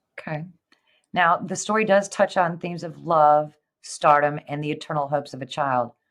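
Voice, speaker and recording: A woman with an American accent speaks at a moderate pace, her pitch very deep and low with ordinary variation. Her loudness swings widely over a quiet background. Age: 50s. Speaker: podcast host. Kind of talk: interview.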